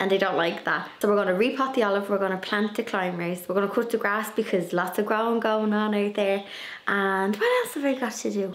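Speech at a fairly quick pace with fairly even intonation comes over light background noise. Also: woman. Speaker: garden vlogger. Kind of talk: casual vlog chat. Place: home room. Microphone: phone near.

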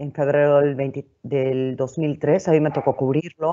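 Over a quiet background, a woman speaks at a fairly slow pace. Her pitch is very deep and low. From northern Mexico (Monclova, Coahuila); Coahuila, Mexico. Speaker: TV and radio presenter; radio presenter. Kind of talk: webinar panel talk. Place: home room. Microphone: earbuds.

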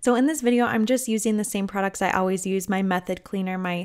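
A woman talks with an ordinary speaking voice at a medium pitch. Her pace is fairly quick and her intonation fairly even. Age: 20s. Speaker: stay-at-home mom. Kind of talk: casual talk to camera.

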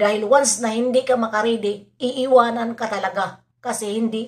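Speaking at a moderate pace, a woman has a fairly high pitch with ordinary pitch variation. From Philippines. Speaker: reaction vlogger. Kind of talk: vlog commentary. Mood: opinionated, defending. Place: home room. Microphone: phone near.

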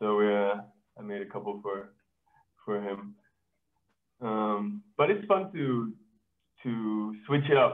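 The man's pitch sits fairly low, and his intonation is fairly even. He talks at a very slow pace with long, frequent pauses. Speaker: glass artist. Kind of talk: online artist presentation. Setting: video call. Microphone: video call.

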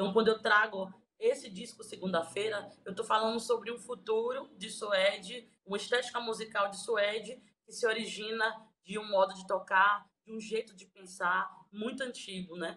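Over light background noise, a woman talks at a moderate pace in a fairly high voice, with fairly even intonation and big swings in loudness. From Bahia, Recôncavo region; Bahia, Brazil. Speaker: singer-songwriter. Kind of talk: interview. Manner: halting. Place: home room. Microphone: phone near.

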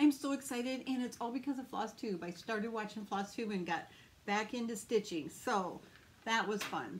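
A woman speaks in a somewhat breathy voice with ordinary pitch variation over light background noise. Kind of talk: casual vlog chat. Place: home room. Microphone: phone near.

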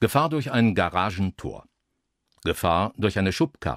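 Vocal fry runs through a fairly slow delivery. The recording is very clean with a silent background, dry and close with no echo. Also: man. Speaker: former radio broadcaster. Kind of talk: radio traffic-warning style narration for an audio art piece. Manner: measured, neutral, professional.

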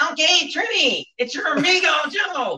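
A put-on character voice shouts at an extremely high pitch, moving at a moderate pace. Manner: silly put-on voice.

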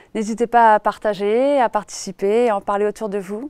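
A woman's fairly high voice at a moderate pace, ordinary pitch variation, and a dry sound with no echo. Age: 30s. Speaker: aspiring horticulturist. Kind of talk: crowdfunding presentation video. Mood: calm, warm, passionate. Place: garden. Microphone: lapel.

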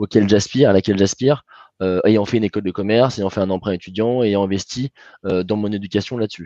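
Speaking at a fairly quick pace, a man has a fairly low, dark, mellow tone with ordinary pitch variation, the sound dry with no echo and the background quiet. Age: 20s. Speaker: alumni event moderator and financial controller; panel moderator, speaker. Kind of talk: moderated panel discussion. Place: home room. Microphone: headset.

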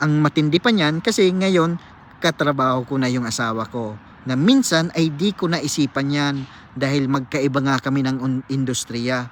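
A man's fairly high pitch in a plain, everyday voice, fairly slow, with ordinary pitch variation. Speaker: cook and former seafarer vlogger. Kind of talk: vlog monologue answering a viewer comment. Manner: casual, conversational.

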